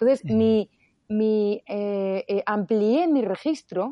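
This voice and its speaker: Speaking with a Madrid accent, a woman has a fairly high pitch and ordinary pitch variation. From Spain, Madrid. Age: 50s. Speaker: economics professor. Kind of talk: interview.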